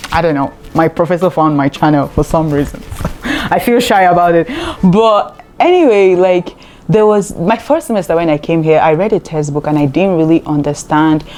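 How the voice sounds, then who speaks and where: Noticeable background noise sits under a voice at a moderate pace with ordinary pitch variation and very even loudness. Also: woman, fairly low pitch for a woman. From Nigeria. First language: a Nigerian language. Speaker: graduate student and vlogger. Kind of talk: casual vlog talk to camera.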